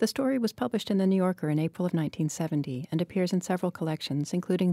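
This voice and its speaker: A woman speaks very fast in a dark, mellow tone with ordinary pitch variation. The recording is very clean with a silent background and a dry, close sound with no echo. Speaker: fiction editor and podcast host. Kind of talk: interview, podcast host introduction.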